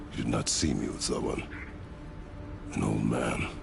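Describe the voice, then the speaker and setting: A man performs a cartoonish character voice at a moderate pace. Loud background noise runs underneath. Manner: terse, clipped, no contractions.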